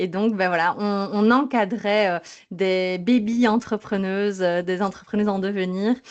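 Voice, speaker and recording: A woman of medium pitch with a slight Belgian accent, at a fairly slow pace against a quiet background. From Belgium. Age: 30s. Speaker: sleep psychologist. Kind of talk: podcast interview. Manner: lively, dynamic; hesitant, many fillers.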